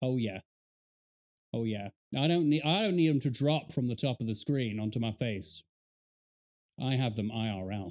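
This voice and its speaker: A man talks at a moderate pace with lively intonation. He leaves long, frequent pauses against a quiet background. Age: 30s. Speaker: gaming YouTuber reacting to a video. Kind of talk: casual reaction commentary. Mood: amused, joking. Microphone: studio mic.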